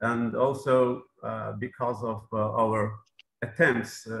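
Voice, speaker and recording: A man speaks with a Persian accent. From southern Iran. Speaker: mayor; presenter. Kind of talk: conference presentation. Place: office. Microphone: video call.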